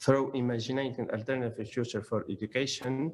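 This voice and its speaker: A man with an Arabic accent, medium in pitch, at a moderate pace. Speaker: academic conference speaker. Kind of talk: conference presentation. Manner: halting.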